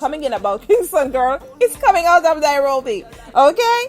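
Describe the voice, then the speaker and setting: With music in the background, a woman speaks with lively intonation in a Jamaican accent. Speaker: radio host. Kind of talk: live interview. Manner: fast.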